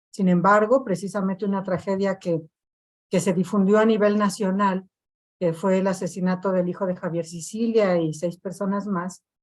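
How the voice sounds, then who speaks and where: A woman at a medium pitch speaks with monotone, flat intonation. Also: moderate pace. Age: 60s. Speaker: victims' collective activist. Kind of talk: panel discussion.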